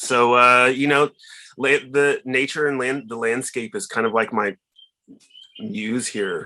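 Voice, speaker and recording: With an American accent, a man speaks at a fairly slow pace in a bright, sharp tone. His pitch is medium, with ordinary pitch variation. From Oklahoma (rural). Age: 40s. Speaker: visual artist. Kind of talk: artist talk Q&A.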